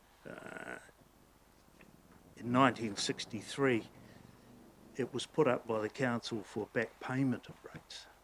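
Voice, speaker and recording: A man speaks at a fairly slow pace, his loudness swinging widely and his speech broken by long, frequent pauses. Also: medium pitch for a man, fairly even intonation. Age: 60s. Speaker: ratepayer making a submission to council. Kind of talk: public hearing submission. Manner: halting.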